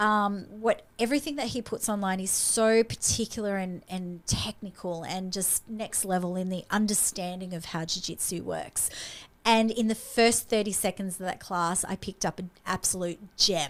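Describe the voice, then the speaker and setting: With an Australian accent, a woman speaks in an animated tone at a moderate pace, her pitch varying in an ordinary way. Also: medium pitch for a woman. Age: 50s. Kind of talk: casual chat.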